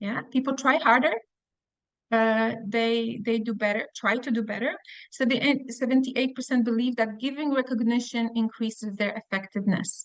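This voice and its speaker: Fairly even intonation at a moderate pace. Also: woman, fairly high pitch for a woman. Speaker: webinar trainer. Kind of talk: webinar presentation. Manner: halting.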